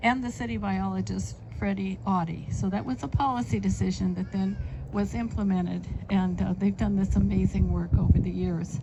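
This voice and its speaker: A woman talks at a moderate pace. Audible room echo is present. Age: 80s+. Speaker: city councilmember. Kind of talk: public speech. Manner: halting with many fillers.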